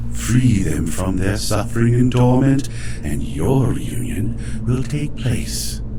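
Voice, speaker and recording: A man uses a put-on character voice with a very deep, low pitch at a fairly slow pace. Loud background noise is heard behind him. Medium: solo performance. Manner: formal, cryptic.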